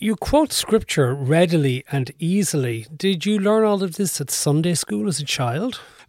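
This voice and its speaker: A man with an Irish accent speaks at a moderate pace with hardly any pauses, a fairly high pitch and very wide pitch swings, in a dry, close sound with no echo. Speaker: radio host and interviewer. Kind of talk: interview. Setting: kitchen table at home.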